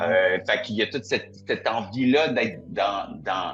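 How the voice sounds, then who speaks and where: A man is speaking. Music plays in the background. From Quebec. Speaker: singer-songwriter. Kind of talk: interview. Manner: hesitant, with many fillers.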